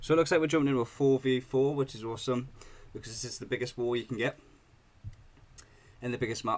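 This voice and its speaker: Speaking very fast but with long, frequent pauses, a man with a British accent holds a medium pitch and fairly even intonation. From Britain. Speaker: gaming YouTuber. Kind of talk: gameplay tutorial. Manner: casual, hesitant with fillers.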